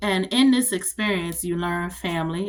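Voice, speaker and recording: Fairly low in pitch, a woman talks in an animated tone at a fairly quick pace. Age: 40s. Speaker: vlogger, army veteran. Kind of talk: casual monologue vlog. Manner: fast.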